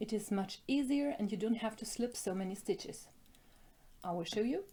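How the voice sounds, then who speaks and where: Speaking with a German accent, a woman has a fairly high pitch and a dark, mellow, somewhat breathy tone. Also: ordinary pitch variation, moderate pace. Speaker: knitting designer and yarn shop owner. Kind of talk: tutorial.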